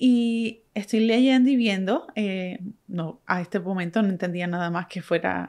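A woman at a fairly slow pace, with lively intonation and a Puerto Rican accent. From Puerto Rico. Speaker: podcast host, photographer and marketing strategist. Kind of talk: solo podcast monologue.

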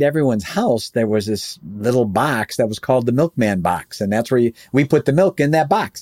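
A man with an ordinary speaking voice speaks with lively intonation. The recording is very clean, dry and close, with no echo and a silent background. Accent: American. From Chicago area, US Midwest. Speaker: entrepreneur and business consultant. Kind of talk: interview.

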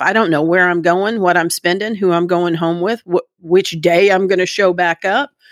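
In a plain, everyday voice, a woman speaks at medium pitch and a moderate pace, the sound dry and close with no echo. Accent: American. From Texas, Dallas area (Plano). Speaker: recovering alcoholic sharing her story. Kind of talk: testimony.

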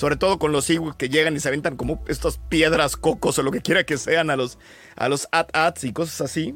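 A man's fairly high voice with vocal fry and ordinary pitch variation, fairly quick in pace, in a very clean recording with a silent background. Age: 40s. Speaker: podcast panelist. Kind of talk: casual chat.

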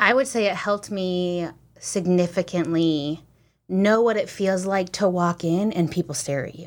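A woman with an American accent and a normal speaking voice, at a medium pitch and moderate pace, with ordinary pitch variation, big swings in loudness, and a very clean recording with a silent background. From US small town. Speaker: interview guest married to a Ugandan man. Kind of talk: casual interview.

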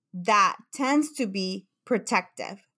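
Recorded very cleanly against a silent background, a woman with a Mexican accent has a bright, sharp tone, a fairly high pitch and lively intonation. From Mexico. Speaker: psychotherapist. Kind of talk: interview.

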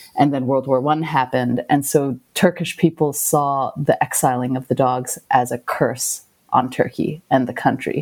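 Speaking at a moderate pace with hardly any pauses, a woman with a very deep, low pitch keeps her intonation fairly even. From Hong Kong. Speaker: documentary filmmaker. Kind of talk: interview. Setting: remote call.

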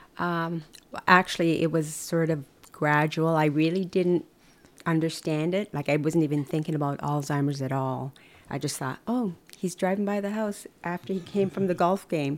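An unremarkable speaking voice from a woman, fairly low in pitch, at a moderate pace with ordinary pitch variation. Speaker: wife and caregiver. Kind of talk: casual interview. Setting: home kitchen.

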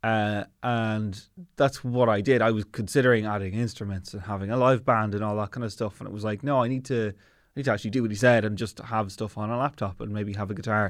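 A man with a fairly low pitch and an Irish accent, very fast pace, fairly even intonation, quiet background. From Ireland, Navan, County Meath. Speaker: comedian. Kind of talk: casual chat.

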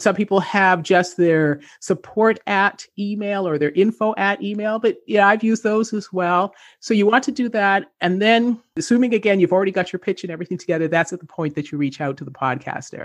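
With a Canadian accent and a normal speaking voice, a woman talks at medium pitch with lively intonation and hardly any pauses against a quiet background. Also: fairly quick pace. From Canada. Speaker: entrepreneur and author. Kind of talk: interview.

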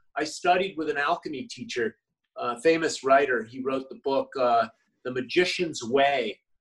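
In a plain, everyday voice, a man talks at a moderate pace with a fairly high pitch and lively intonation. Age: 50s. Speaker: health and wellness coach, former model. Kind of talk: interview conversation.

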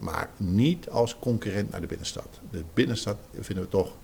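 Lively intonation in an unremarkable speaking voice. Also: man. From Zeeland, Netherlands. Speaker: retail trade association director. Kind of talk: interview.

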